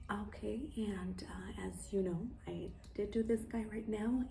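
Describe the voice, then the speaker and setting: A woman whispers, with audible room echo around her voice. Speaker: plant care vlogger. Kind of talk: tutorial. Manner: whispering.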